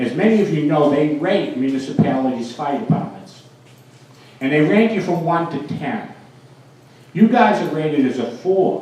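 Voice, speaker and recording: A man with a Boston accent, fairly high-pitched, lively in intonation, at a moderate pace with long, frequent pauses, plus audible room echo and noticeable background noise. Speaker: mayor and fire protection engineer. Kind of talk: speech at a dedication ceremony.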